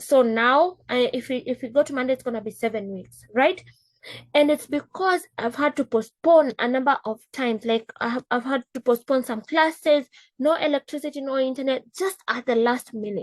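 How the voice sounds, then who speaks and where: With an African accent, a high-pitched woman talks at a moderate pace with ordinary pitch variation, the sound dry and close with no echo. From East Africa. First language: Swahili. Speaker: business coach. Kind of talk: casual talk. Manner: animated.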